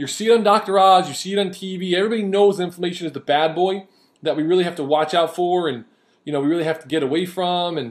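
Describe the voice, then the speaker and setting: At a very fast pace, a man talks in an animated tone with high pitch over a quiet background. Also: ordinary pitch variation. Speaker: diet coach. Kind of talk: video lecture.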